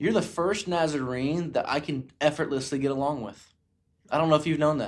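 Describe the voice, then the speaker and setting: A man with an American accent and a fairly high pitch speaks in an animated tone with ordinary pitch variation, on a very clean recording with a silent background. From US South. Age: 20s. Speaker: podcast host. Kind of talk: casual chat.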